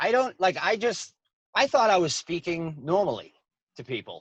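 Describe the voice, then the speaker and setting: With a strong Boston accent, a man talks at a moderate pace in a high voice with lively intonation. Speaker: comedian. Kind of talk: casual chat.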